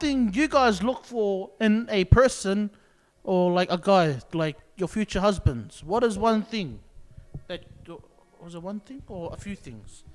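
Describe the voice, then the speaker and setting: A man with a non-native accent and a high pitch, at a very slow pace, with big swings in loudness. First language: not English. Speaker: youth podcast co-host. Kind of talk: casual chat.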